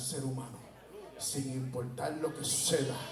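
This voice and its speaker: Speaking at a fairly slow pace, a man uses a fairly high pitch and fairly even intonation. The recording has audible room echo and noticeable background noise. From Puerto Rico, Peñuelas. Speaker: preacher. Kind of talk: sermon.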